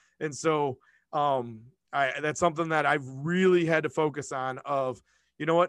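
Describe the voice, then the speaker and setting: In an unremarkable speaking voice, a man talks at a fairly quick pace with fairly high pitch and fairly even intonation against a quiet background. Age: 40s. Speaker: school principal. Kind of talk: casual interview chat.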